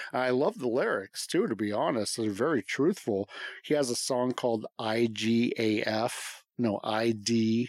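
A man with an American accent speaks in a normal speaking voice at a fairly slow pace, with ordinary pitch variation. The loudness is very even, and the sound is dry and close with no echo. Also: medium pitch for a man. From US West, Las Vegas. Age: 40s. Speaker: podcast guest, home gym owner. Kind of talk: casual chat.

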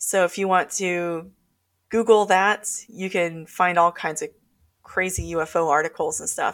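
A speaker with an Alaskan accent talks fairly slowly with fairly even intonation. The recording is very clean with a silent background. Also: woman, fairly low pitch for a woman. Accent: Alaskan American English. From Alaska, North Pole. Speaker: paranormal researcher and author. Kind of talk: casual interview storytelling.

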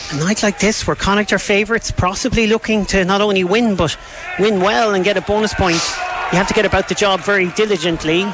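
Over noticeable background noise, a man talks very fast at a high pitch. His tone is animated and his loudness very even. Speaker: play-by-play rugby commentator. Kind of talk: live sports commentary, play-by-play. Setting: stadium commentary position, open air with wind and rain. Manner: fast, animated, urgent as the action builds.

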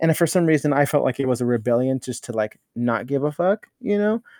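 Very fast and fairly high-pitched, a man speaks in a dark, mellow tone with ordinary pitch variation over a quiet background. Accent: American. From Los Angeles area (Norwalk), California. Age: 30s. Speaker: leather titleholder, performer. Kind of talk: casual interview.

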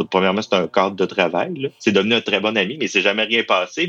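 This man has a Saguenay–Lac-Saint-Jean accent. His pitch sits in the medium range. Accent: Saguenay-Lac-Saint-Jean Quebec French. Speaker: university employee. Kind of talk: interview testimony. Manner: halting, many repetitions.

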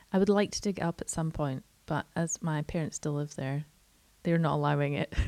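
With a Scottish accent, a woman talks at a fairly quick pace in a very deep, low voice, her dark, mellow tone showing ordinary pitch variation in a dry, close sound with no echo. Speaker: podcast host. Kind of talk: casual chat.

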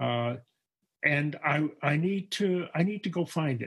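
Lively intonation colors a man's somewhat breathy speech. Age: 80s+. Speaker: retired educator and artist. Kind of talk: casual chat. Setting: at home. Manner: halting.

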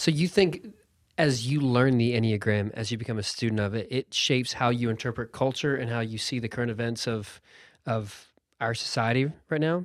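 Over a silent background in a very clean recording, the speech moves at a fairly quick pace with ordinary pitch variation. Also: man, medium pitch for a man. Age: 30s. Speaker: podcaster. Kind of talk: casual chat. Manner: animated.

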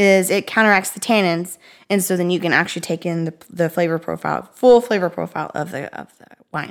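On a very clean recording with a silent background, a woman with an ordinary speaking voice talks at a fairly quick pace in a fairly low pitch, with ordinary pitch variation and big swings in loudness. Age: 30s. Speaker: podcast co-host, former library worker. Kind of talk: casual chat. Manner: fast, filler-heavy.

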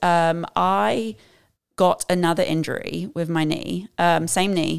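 In a very clean recording with a silent background, a woman with an American accent speaks at a very slow pace. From southern England. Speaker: amateur marathon runner. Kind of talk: podcast interview. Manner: uses many fillers like um and uh.

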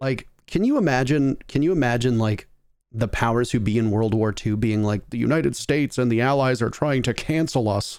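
A man's normal speaking voice at a medium pitch, fairly quick in pace, with ordinary pitch variation and very even loudness. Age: 30s. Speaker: esports podcast host. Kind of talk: casual chat. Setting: video call.

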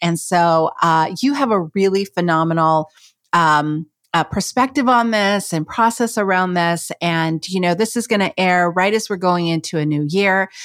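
A woman at a medium pitch and moderate pace, animated in tone, with ordinary pitch variation, very even loudness and a very clean recording with a silent background. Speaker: podcast host. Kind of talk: casual interview.

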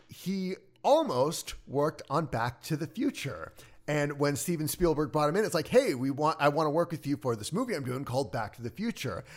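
This man has a normal speaking voice, fairly high pitch and lively intonation at a fairly quick pace. The recording is very clean, with a silent background. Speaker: musician and streamer. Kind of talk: casual chat.

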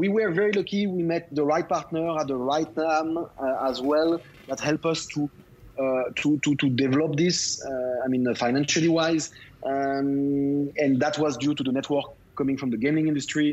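At a moderate pace, a man with a French accent talks at a fairly high pitch with fairly even intonation. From France, Lyon. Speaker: tech entrepreneur. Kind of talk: interview. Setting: remote call.

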